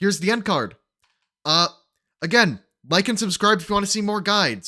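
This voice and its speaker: The voice is raised and projected with a bright, sharp tone, ordinary pitch variation and long, frequent pauses. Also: man. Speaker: gaming guide youtuber. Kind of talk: tutorial. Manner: fast.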